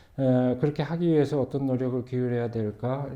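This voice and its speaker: A man talks at a medium pitch, his intonation fairly even, with a quiet background behind him. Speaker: pastor. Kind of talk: panel discussion. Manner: slow.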